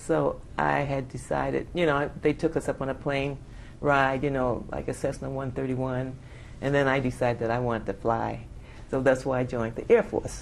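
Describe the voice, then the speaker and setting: A woman with an American accent speaks at a moderate pace with a very deep, low pitch, vocal fry and fairly even intonation, amid audible room echo. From New York City, Bronx. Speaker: Air Force veteran. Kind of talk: oral history interview. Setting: conference.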